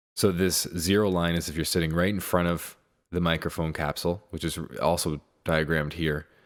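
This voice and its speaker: Very deep and low, a man's voice moves at a fairly quick pace in a flat monotone. The recording is very clean, with a silent background. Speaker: music producer. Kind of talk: tutorial. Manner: soft-spoken; halting.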